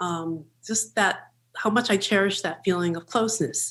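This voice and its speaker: The speaker is a woman. She talks with an American accent. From Western Massachusetts. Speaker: women's studies professor. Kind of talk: panel discussion.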